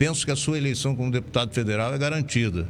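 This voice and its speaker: The intonation is lively. Audible room echo surrounds the voice. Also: man. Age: 70s. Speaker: radio host. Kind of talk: radio interview.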